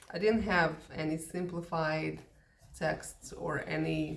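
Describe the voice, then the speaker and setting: Very slow speech from a woman in a Russian accent, with audible room echo and noticeable background noise. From Soviet Union. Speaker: English teacher. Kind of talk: casual talk to camera. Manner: hesitant, many fillers.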